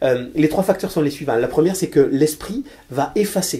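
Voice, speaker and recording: A man speaks with a Toulouse accent and fairly high pitch. His tone is dark and mellow, with ordinary pitch variation. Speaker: financier. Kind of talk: interview. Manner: hesitant, many fillers and repetitions.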